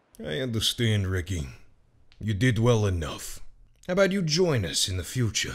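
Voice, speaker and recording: A man's raspy put-on character voice at a medium pitch, with very wide pitch swings and long, frequent pauses. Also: moderate pace. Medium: audio drama. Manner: smooth, menacing.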